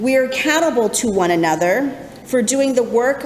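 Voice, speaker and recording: Noticeable background noise behind a woman's high voice with ordinary pitch variation. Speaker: congregational life coordinator and ministerial intern. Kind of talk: church sermon.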